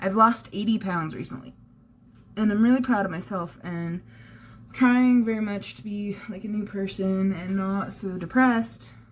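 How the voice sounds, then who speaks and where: A woman at medium pitch and a moderate pace, lively in intonation, with noticeable background noise. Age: 20s. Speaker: vlogger. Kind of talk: casual vlog.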